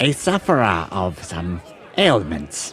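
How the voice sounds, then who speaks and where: The man puts on a character voice at a fairly slow pace. Background noise is clear throughout. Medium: actual play. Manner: formal, ornate.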